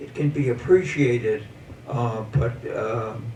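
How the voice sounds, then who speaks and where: The pace is very slow, with fairly even intonation. Noticeable background noise runs underneath. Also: man. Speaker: painter. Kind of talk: talk about own artwork. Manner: halting, many fillers.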